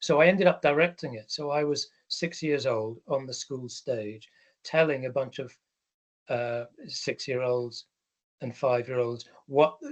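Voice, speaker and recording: Using an English accent, a man with a medium pitch and ordinary pitch variation speaks at a fairly slow pace, with big swings in loudness and long, frequent pauses. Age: 60s. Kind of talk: talk. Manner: hesitant, many ums.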